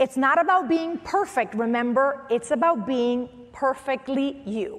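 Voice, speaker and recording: Animated speech with a slight Spanish accent moves at a moderate pace, its pitch swinging very widely over noticeable background noise. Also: woman. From Venezuela. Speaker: motivational speaker and former news anchor. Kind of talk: motivational talk.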